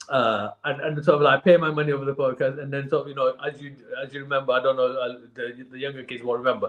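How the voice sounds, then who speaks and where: A man's fairly high voice, very fast and with hardly any pauses, fairly even in intonation but with big swings in loudness, over noticeable background noise. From northern England, Bolton. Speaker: charity cyclist. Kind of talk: casual podcast interview. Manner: halting, many fillers and repeats.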